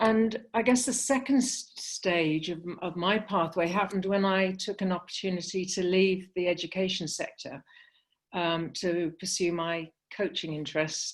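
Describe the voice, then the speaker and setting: A woman with a British accent, medium pitch and a fairly slow pace against a quiet background. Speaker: sports consultant. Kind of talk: panel discussion. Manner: hesitant, many fillers.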